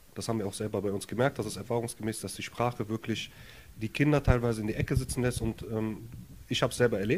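A man's very fast speech at a medium pitch, with an Arabic accent and fairly even intonation. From Germany, Jülich (from Lebanon as child). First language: Arabic (speaking German). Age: 30s. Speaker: social welfare office worker, council candidate. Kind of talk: casual interview. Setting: his apartment.

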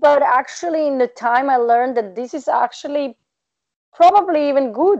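A woman's high-pitched voice with lively intonation in a Serbian accent. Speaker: PhD researcher and tutor. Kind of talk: interview conversation. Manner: direct, straightforward.

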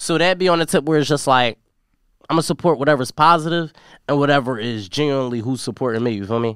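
Talking very fast at a fairly high pitch with ordinary pitch variation, a man is recorded dry and close with no echo, in a very clean recording with a silent background. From North Philadelphia. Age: young. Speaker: rapper. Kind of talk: casual chat.

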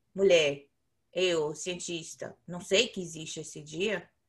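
A woman is speaking. Her tone is bright and sharp. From Bahia, Brazil. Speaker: podcast co-host, behavior analyst. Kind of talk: casual chat.

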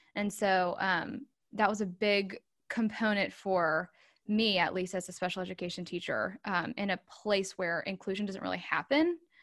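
A woman speaks in an American accent with a plain, everyday voice. Her moderate pace comes through on a very clean recording against a silent background. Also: medium pitch for a woman, ordinary pitch variation. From North Carolina, Charlotte area. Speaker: transition consultant, former special educator. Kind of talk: casual interview chat.

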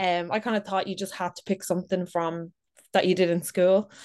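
A woman with a fairly low pitch speaks in a Dublin accent against a quiet background. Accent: Dublin Irish. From Ireland, Dublin. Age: 30s. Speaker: content creator. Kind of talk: casual chat.

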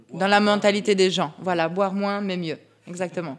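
Her delivery is fairly slow, and this woman keeps her intonation fairly even. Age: 30s. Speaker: craft brewery partner. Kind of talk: interview.

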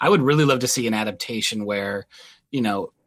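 The recording is very clean, with a silent background. A man at medium pitch talks at a very fast pace. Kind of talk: casual chat.

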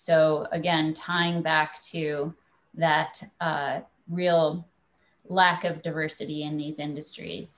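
Speaking very slowly, a woman uses a very deep, low pitch and a monotone, flat intonation. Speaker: startup founder. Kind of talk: panel discussion. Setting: video call.

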